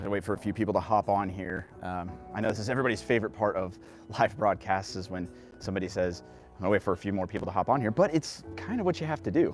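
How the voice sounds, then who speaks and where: A man speaks very fast with lively intonation and a fairly low pitch. Music plays in the background. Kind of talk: casual live stream walkthrough. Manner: chatty, enthusiastic.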